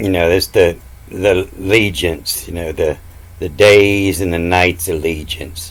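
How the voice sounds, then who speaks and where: Against noticeable background noise, a man speaks with a very deep, low pitch and fairly even intonation. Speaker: self-taught esoteric Bible teacher. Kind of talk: video lecture. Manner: slow; hesitant, filler-heavy.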